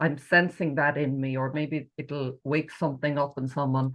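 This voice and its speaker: Very deep, low pitch from a woman, delivered at a moderate speed. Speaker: podcast host. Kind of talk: podcast interview.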